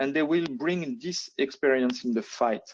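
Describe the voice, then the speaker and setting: A man with a French accent, fairly high pitch, lively intonation and a fairly slow pace. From France. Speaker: air force officer. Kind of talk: lecture. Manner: halting, many fillers.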